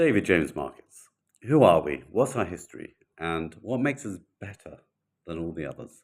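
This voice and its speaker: A man speaks with very wide pitch swings, keeping a moderate pace. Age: 60s. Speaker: brokerage owner. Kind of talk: casual talking-head video. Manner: halting, repetitive.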